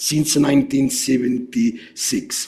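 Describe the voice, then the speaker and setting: Amid audible room echo, a man speaks at a very slow pace in a fairly high voice with very wide pitch swings. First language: Italian. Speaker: geophysics researcher. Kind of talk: lecture. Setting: seminar. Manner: halting, many fillers.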